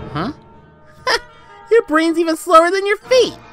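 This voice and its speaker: Faint music plays in the background as a put-on character voice speaks at a moderate pace. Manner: cocky, relaxed, teasing.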